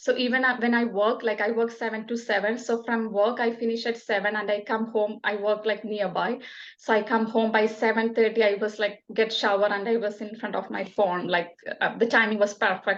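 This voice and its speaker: A woman with a Keralan accent, fairly high-pitched and monotone with flat intonation, at a fairly quick pace. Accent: Indian (Malayali) English. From Kerala, India. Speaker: nurse. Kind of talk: interview answer.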